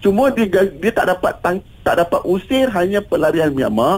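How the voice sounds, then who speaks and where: Male speech with very wide pitch swings, moving at a moderate pace. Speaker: humanitarian organisation official. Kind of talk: radio interview.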